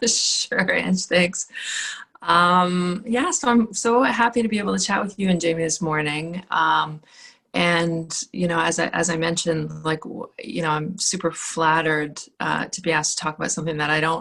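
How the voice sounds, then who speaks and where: A woman with a plain, everyday voice, fairly low pitch, ordinary pitch variation and a moderate pace. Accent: Canadian. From Northern Ontario, Canada (Sault Ste. Marie). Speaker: student affairs administrator. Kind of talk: casual chat.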